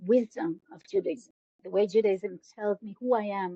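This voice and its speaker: A woman speaks at a fairly slow pace with an Israeli accent. The sound is dry and close, with no echo. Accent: Israeli Hebrew. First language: Hebrew. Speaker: educator. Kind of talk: interview. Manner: halting.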